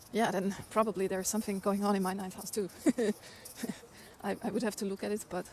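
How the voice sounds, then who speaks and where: A woman with an Austrian accent at a very fast pace, medium in pitch and monotone, with long, frequent pauses and noticeable background noise. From Austria, Vienna. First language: German. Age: 40s. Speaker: livestreamer. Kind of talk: casual live-stream chat while walking. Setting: outdoors, walking city streets.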